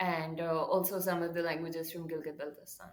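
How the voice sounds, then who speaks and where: A woman with a Pakistani accent talks at a moderate pace in a fairly low voice. Her intonation is flat and monotone, and the room echo is audible. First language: Urdu. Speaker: writer and translator. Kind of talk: podcast interview.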